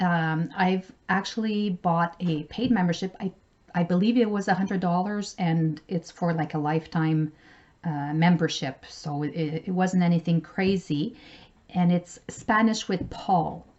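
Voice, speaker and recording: With a French accent, a woman speaks in a fairly low pitch. Her pace is fairly slow, and her pitch varies in an ordinary way. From Canada, French-speaking. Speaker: travel vlogger. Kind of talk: casual vlog tutorial.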